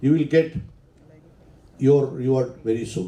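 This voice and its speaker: A man's dark, mellow tone at a moderate pace, with ordinary pitch variation and audible room echo. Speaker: engineer and professional society volunteer. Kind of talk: conference talk. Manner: loud.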